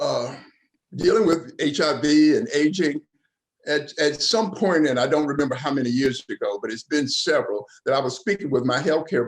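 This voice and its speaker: Lively intonation from a man with a Southern US accent, fairly high pitch and moderate pace. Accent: Southern US (Georgia). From Georgia, US South. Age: 70s. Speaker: community panelist living with HIV. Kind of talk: panel discussion.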